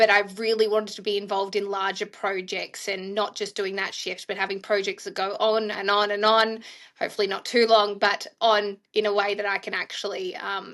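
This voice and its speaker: Against a quiet background, a woman with an Australian accent speaks at a moderate pace and medium pitch, with monotone, flat intonation and hardly any pauses. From Australia, Melbourne. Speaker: infection prevention leader, nurse. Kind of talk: interview.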